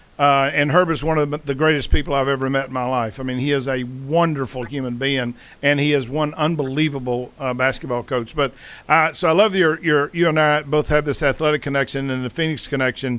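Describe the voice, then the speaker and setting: A man with an ordinary speaking voice talks at a fairly quick pace, with fairly high pitch and fairly even intonation. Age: 60s. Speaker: podcast host and sales mentor. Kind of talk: interview podcast conversation.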